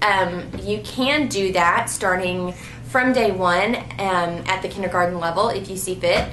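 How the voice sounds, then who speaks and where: Over noticeable background noise and audible room echo, a woman with a medium pitch talks at a fairly slow pace with ordinary pitch variation. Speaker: homeschooling mom vlogger. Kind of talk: casual Q&A vlog.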